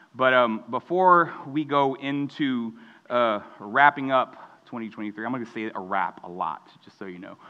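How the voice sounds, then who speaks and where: In a plain, everyday voice, a man at medium pitch talks at a fairly slow pace with lively intonation and big swings in loudness. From Texas, Mexican American family. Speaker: student pastor. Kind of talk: sermon.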